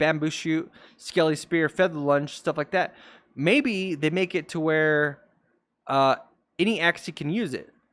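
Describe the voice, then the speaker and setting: The recording is very clean, with a silent background and a dry, close sound with no echo. A man speaks fairly slowly at a fairly high pitch with ordinary pitch variation. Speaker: gaming content creator. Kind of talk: casual tier list commentary. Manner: hesitant with fillers.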